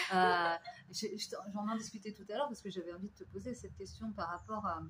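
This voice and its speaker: A woman speaks at a fairly quick pace with vocal fry, fairly even intonation, and big swings in loudness. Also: medium pitch for a woman. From France. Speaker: radio host. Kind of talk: interview.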